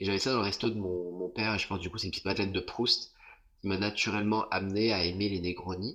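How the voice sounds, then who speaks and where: Very fast and monotone, a man speaks with fairly low pitch and flat intonation. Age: 30s. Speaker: influencer and cocktail content creator. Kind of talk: casual interview. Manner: hesitant, many fillers.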